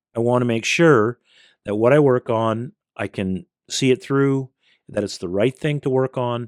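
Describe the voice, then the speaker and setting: A man's normal speaking voice with a Canadian accent, ordinary pitch variation and a moderate pace, in a dry, close sound with no echo. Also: medium pitch for a man, very clean recording, silent background. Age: 60s. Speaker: community leader and youth organization founder. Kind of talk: podcast interview.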